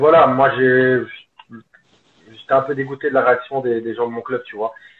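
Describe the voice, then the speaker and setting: At a moderate pace, a man speaks with medium pitch in a monotone, flat delivery. His loudness swings widely. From Belgium, Liège. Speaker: football coach. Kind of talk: casual interview. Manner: hesitant, many fillers.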